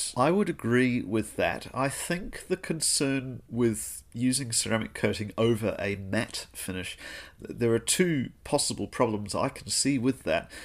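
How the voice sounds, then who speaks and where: In a very clean recording with a silent background, a man with a New Zealand accent speaks at a medium pitch. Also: lively intonation, fairly slow pace. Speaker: podcast host. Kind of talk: casual interview.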